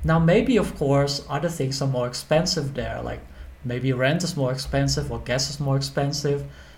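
At a moderate pace, a man speaks in a recording with audible room echo and noticeable background noise. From Netherlands. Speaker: accountant and finance educator. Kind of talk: educational monologue.

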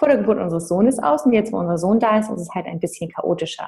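A woman's voice has a dark, mellow tone with vocal fry. Her intonation is lively. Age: 30s. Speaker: mindset coach and mother. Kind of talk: interview.

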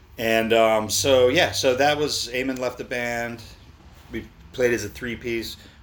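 A man with an American accent speaks at a fairly slow pace and medium pitch. His intonation is monotone and flat, and the room echo is audible. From Baltimore, Maryland, US. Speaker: musician. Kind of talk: casual chat.

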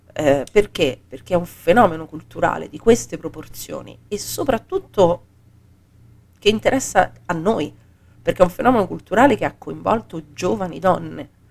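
A woman with a fairly low pitch and vocal fry sounds animated, her intonation lively and her loudness swinging widely. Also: moderate pace. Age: 40s. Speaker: podcast co-host. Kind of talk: casual chat.

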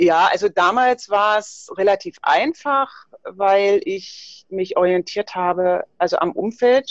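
A woman with an unremarkable speaking voice, medium pitch and lively intonation, in a dry, close sound with no echo. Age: 50s. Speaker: fitness trainer and nutrition coach. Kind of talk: casual interview.

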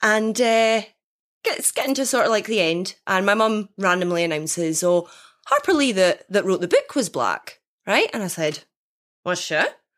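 With a Scottish accent, a woman speaks at a moderate pace and medium pitch with lively intonation, on a very clean recording with a silent background. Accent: Scottish but softer than typical Dundonian. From Dundee, Scotland. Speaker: guest player in game. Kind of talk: casual banter, question game. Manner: light, laughing often.

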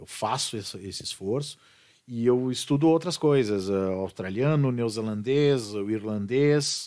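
In a very clean recording with a silent background, a man uses an ordinary speaking voice at medium pitch, talking at a fairly slow pace with ordinary pitch variation and big swings in loudness. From southern Brazil, Serra Gaúcha (Bento Gonçalves). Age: 40s. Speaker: rock singer. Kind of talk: casual chat. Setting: studio.

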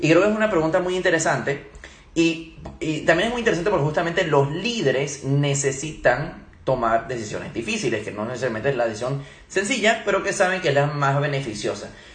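Over noticeable background noise and audible room echo, a man talks fairly quickly with lively intonation and a fairly high pitch. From Venezuela and Germany. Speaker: leadership trainer. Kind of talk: live Q&A talk. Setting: Instagram live stream.

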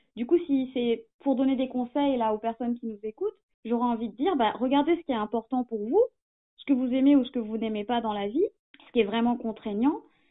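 Speaking at a fairly quick pace, a woman with a high pitch shows ordinary pitch variation and big swings in loudness. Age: 30s. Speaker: small business owner, former journalist. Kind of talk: interview. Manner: halting.

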